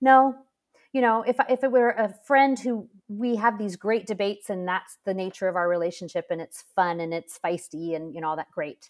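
At a moderate pace, a woman with a plain, everyday voice speaks at medium pitch with lively intonation, in a very clean recording with a silent background and a dry, close sound with no echo. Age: 50s. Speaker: author and mother of eight. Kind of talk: interview conversation.

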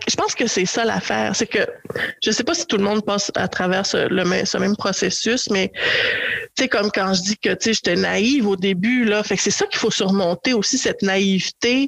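Talking at a fairly slow pace in a Quebec accent, a woman holds a medium pitch with ordinary pitch variation. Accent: Québécois French. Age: 40s. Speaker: podcast guest on dating. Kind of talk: casual chat.

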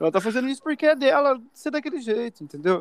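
The man's lively intonation comes through in a dry, close sound with no echo. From interior of São Paulo state, Brazil. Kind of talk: casual chat.

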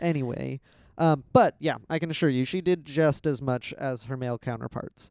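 A man at a moderate pace, fairly high in pitch with ordinary variation, an ordinary speaking voice, dry and close sound with no echo. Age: 20s. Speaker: podcast co-host telling inspirational stories. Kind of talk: casual storytelling chat.

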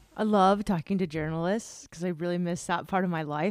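In an ordinary speaking voice, a woman talks at a moderate pace with lively intonation, the recording very clean with a silent background and a dry, close sound with no echo. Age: 40s. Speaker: podcast host. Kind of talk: scripted narration; interview.

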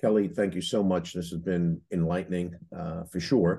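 A man's very deep, low voice with a dark, mellow tone against a quiet background. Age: 60s. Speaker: podcast host, franchise consultant. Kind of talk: casual interview.

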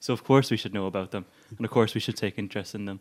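Recorded very cleanly against a silent background, a man talks with an Irish accent. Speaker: podcast co-host. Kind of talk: casual political discussion.

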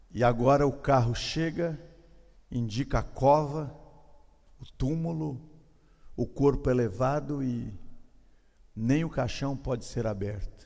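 With audible room echo, a man speaks at a medium pitch and a very slow pace, with ordinary pitch variation, long, frequent pauses and a dark, mellow tone. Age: 50s. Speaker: pastor. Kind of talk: sermon.

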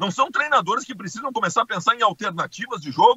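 Lively in intonation, this man speaks at an extremely high pitch. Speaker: sports commentator. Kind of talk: casual sports debate.

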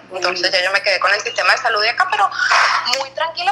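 A woman speaks over noticeable background noise. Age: 30s. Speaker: podcast guest sharing birth story. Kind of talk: casual chat.

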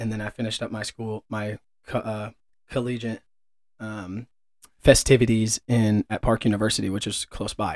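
A man's fairly low voice with a Midwestern American accent, monotone, flat intonation, a moderate pace and long, frequent pauses. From Kansas City area, US Midwest. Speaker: podcast co-host, business manager. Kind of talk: casual chat.

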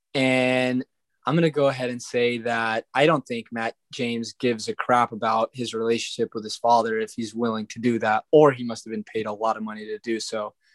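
A man with a medium pitch talks in a monotone, flat way at a fairly quick pace. The sound is dry and close, with no echo. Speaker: returning guest, brother of other guest. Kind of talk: casual podcast chat.

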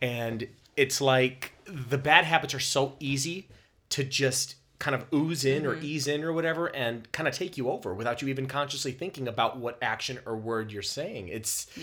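A man speaks at a moderate pace with ordinary pitch variation. His is a normal speaking voice. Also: medium pitch for a man. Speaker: podcast co-host. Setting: sharing one microphone, practice recording. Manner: relaxed, joking.

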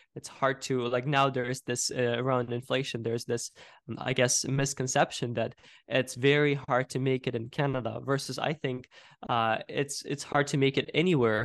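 A man speaks at medium pitch and a moderate pace in a monotone, flat way. The background is quiet. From Ukraine. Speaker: entrepreneur. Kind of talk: interview. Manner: halting, many fillers.

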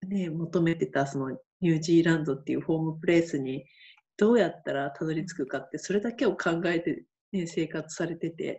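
A woman talks at a fairly quick pace. Her voice is fairly low in pitch and somewhat breathy. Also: ordinary pitch variation. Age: 50s. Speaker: camp manager, freelancer. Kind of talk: interview.

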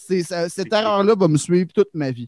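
A man's high voice in a Quebec accent, very slow, with ordinary pitch variation and a dry, close sound with no echo. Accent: Québécois French. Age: 20s. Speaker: comedian. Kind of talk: casual chat.

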